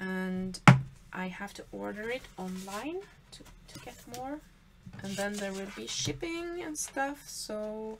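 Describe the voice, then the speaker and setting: With a Swedish accent, a woman speaks very slowly at a medium pitch, taking long, frequent pauses and making very wide pitch swings over noticeable background noise. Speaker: papercraft creator. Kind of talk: tutorial. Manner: halting.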